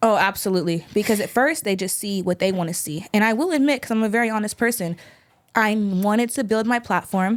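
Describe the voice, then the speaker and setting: A woman with an American accent talks very fast in a fairly high voice. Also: ordinary pitch variation. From California, Sacramento. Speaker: rapper and musician. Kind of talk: casual interview chat.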